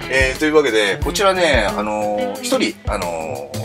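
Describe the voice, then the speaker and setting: Clear music sounds behind a man as he talks. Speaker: professional bass player. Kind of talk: casual talk to camera. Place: home room.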